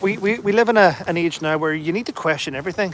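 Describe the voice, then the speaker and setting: A man with a Northern Irish accent speaks at a fairly quick pace with lively intonation over noticeable background noise. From Northern Ireland, Derry. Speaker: livestreamer, army veteran. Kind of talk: casual live-stream chat reading comments. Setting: outdoors, walking.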